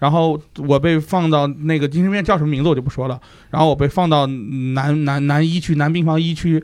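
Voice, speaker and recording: A man talks in a normal speaking voice at a fairly high pitch. His pace is fairly quick and his intonation fairly even. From Shanxi, Taiyuan. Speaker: podcast guest. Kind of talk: casual chat. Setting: studio, crowded round a small table.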